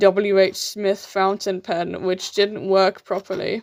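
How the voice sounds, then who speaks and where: In a British accent, a woman with a medium pitch is heard in a dry, close sound with no echo. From UK. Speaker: artist live-streamer. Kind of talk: live stream chat while drawing. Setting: live stream. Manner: halting.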